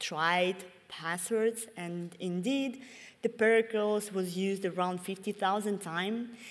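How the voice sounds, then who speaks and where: With a Russian accent, a woman speaks at a fairly slow pace and medium pitch, her intonation fairly even. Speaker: security researcher. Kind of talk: conference talk. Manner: halting, with many fillers.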